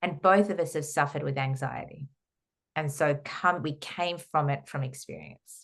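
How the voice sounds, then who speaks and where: Against a quiet background, a woman with an Australian accent speaks in a very deep, low pitch, somewhat breathy, with fairly even intonation. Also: moderate pace. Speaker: holistic counsellor and trauma therapist. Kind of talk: podcast interview.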